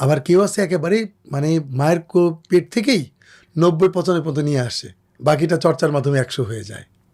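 In a very clean recording with a silent background, a man with a fairly high pitch and an unremarkable speaking voice speaks with lively intonation and big swings in loudness. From Bangladesh, Faridpur. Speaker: Islamic singer. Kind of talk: interview.

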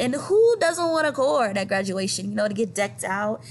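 Speaking at a fairly quick pace with an American accent, a woman uses vocal fry and very wide pitch swings over light background noise. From US South (St. Petersburg, Florida); US South. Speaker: high school art teacher; art teacher. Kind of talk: recorded presentation. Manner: casual, conversational. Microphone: webcam.

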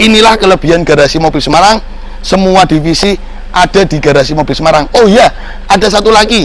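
Over light background noise and with a dry sound with no echo, a man talks fairly quickly at a high pitch. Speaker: presenter. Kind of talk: promotional commentary. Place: street.

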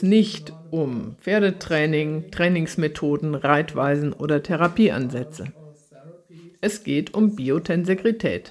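At a very slow pace and with lively intonation, a woman speaks over light background noise. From Germany. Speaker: horse trainer and author giving a talk; lecturer. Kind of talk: lecture; recorded lecture. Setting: online event. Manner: formal. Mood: calm, earnest.

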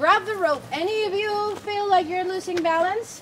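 Over noticeable background noise, a woman with an extremely high pitch speaks at a moderate pace with ordinary pitch variation. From Mexico. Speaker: tour guide. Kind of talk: guided tour narration. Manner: animated.

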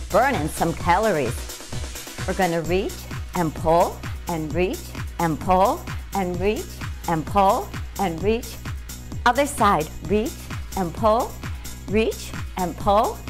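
Clear music plays in the background. A woman speaks at a very slow pace with long, frequent pauses. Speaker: fitness instructor. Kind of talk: workout instruction. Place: home room.

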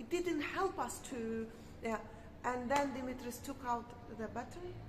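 The speech moves at a fairly slow pace. Noticeable background noise runs underneath. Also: woman. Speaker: vlogger. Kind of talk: casual chat. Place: street. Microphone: phone near.

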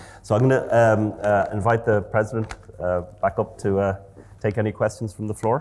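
Talking at a fairly quick pace, a man has a fairly low pitch and big swings in loudness. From Ireland. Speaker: professor of physiology. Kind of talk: interview. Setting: stage with audience. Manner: halting, repeats words. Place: hall. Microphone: lapel.

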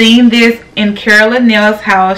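The voice moves at a fairly slow pace while faint music plays in the background. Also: woman. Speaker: home decor vlogger. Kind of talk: casual vlog chat. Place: home room.

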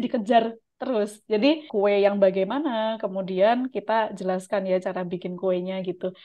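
A woman is speaking at a moderate pace. Behind her, the background is quiet. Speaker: Japanese language teacher and YouTube channel host. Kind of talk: tutorial with mock interview. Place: home room. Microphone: video call.

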